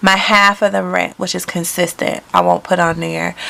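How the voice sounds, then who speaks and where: The speaker is a woman. Background noise is noticeable throughout. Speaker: lifestyle vlogger. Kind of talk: casual chat. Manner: halting.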